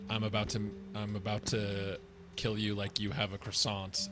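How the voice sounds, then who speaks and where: A man puts on a character voice at a fairly low pitch and a moderate pace, with clear background noise. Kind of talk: theatrical. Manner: eerie, menacing.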